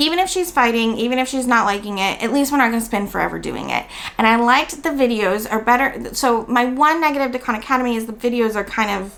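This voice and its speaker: Very fast speech with an American accent, ordinary pitch variation and noticeable background noise. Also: woman. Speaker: homeschooling vlogger. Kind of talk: casual review vlog.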